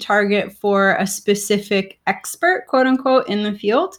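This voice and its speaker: The recording is very clean, with a silent background. A woman speaks at a medium pitch and fairly slow pace in an unremarkable speaking voice. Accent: American. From South Florida. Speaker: marine biologist and podcaster. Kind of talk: casual interview chat.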